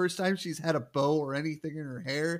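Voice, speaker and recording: A man's fairly high-pitched voice, with an Upper Midwest accent. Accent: Upper Midwest American. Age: 30s. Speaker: podcast co-host. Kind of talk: casual chat.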